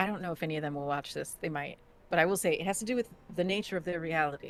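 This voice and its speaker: A woman talks at a very fast pace with a slight New Jersey accent. Her pitch is fairly low, with ordinary variation. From New Jersey, US. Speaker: actor and game master. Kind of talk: casual interview chat.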